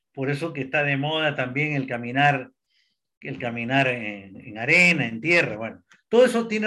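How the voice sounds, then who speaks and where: On a very clean recording with a silent background, a man speaks fairly slowly in a fairly high pitch, his tone bright and sharp and his intonation lively. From Peru. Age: 70s. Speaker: alternative therapist. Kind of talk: interview.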